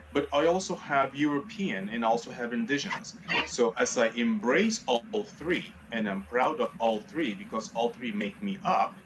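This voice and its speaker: Noticeable background noise runs under a man's voice. His pitch is fairly high and makes very wide swings. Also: moderate pace. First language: Spanish. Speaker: community leader. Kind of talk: TV panel discussion.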